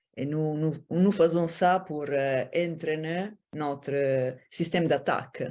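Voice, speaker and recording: A woman with an Italian accent speaks very slowly in a very deep, low voice, her tone dark and mellow and her intonation fairly even. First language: Italian (speaking French). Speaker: former Olympic judoka and assistant professor. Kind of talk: conference Q&A answer. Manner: halting, searching for words.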